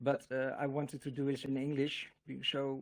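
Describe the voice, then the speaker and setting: A man with a Dutch accent speaks at a fairly high pitch. The recording is very clean, with a silent background. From Netherlands. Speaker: religious video creator. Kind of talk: casual monologue to camera. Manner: halting, many fillers and repetitions.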